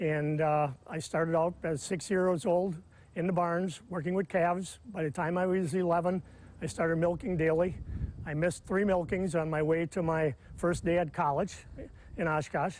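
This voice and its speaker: A high-pitched man with a Wisconsin accent, at a moderate pace with fairly even intonation, dry with no echo and light background noise. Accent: Upper Midwest (Wisconsin). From Wisconsin, Manitowoc County. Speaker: farmer. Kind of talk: interview. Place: farm. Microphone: lapel.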